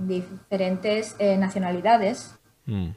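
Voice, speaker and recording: A woman speaks in a somewhat breathy, medium-pitched voice. Her pace is fairly slow and her intonation fairly even. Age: 30s. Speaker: language academy co-founder. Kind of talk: interview.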